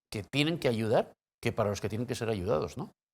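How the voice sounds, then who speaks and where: This man has an ordinary speaking voice with a fairly low pitch and ordinary pitch variation. The recording is very clean, with a silent background. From Spain (Valencia). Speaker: journalist, interviewer. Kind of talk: interview.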